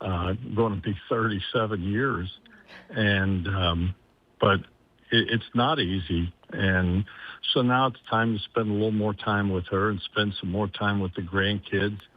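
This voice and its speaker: A man with a Midwestern US accent, at a fairly slow pace and with fairly even intonation. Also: fairly low pitch for a man. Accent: US Midwest. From Columbus, Ohio. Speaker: sports anchor. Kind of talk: casual interview.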